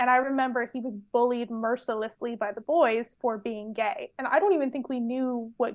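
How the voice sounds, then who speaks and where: Over a quiet background, a woman with an American accent talks at a moderate pace and a high pitch, with ordinary pitch variation. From US West Coast, Orange County, California. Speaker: cultural anthropologist. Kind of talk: casual chat.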